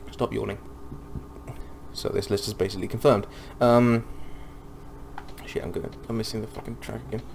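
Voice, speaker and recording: A man talks at a fairly quick pace, broken by long, frequent pauses. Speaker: gaming podcaster. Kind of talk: casual commentary while gaming. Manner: fast; hesitant, many fillers.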